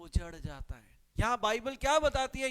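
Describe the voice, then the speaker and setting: With a Punjabi accent, a man speaks at an extremely high pitch with ordinary pitch variation. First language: Punjabi (speaking Hindi). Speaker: pastor. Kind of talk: sermon. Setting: live-streamed church service.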